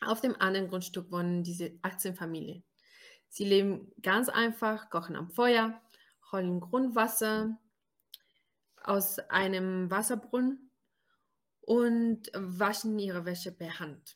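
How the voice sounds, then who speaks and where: Very slow speech broken by long, frequent pauses. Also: woman, medium pitch for a woman. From Brazil. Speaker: podcast co-host. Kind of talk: casual podcast interview.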